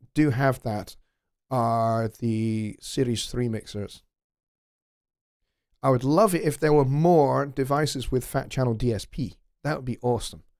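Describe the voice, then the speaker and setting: A man with a Scottish accent on a very clean recording with a silent background. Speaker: music production tutor and livestream host. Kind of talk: live stream Q&A. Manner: halting, many fillers. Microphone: close to the mic, gain turned up.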